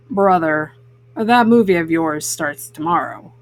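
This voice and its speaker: A woman puts on a character voice. It sits at a fairly low pitch and moves at a fairly slow pace. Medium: read story. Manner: relaxed, reassuring.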